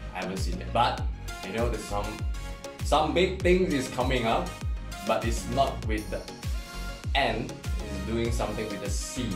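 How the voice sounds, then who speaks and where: A man with a Chinese accent talks with long, frequent pauses while clear music plays in the background. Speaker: camera hobbyist reviewer. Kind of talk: casual talk to camera. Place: home room.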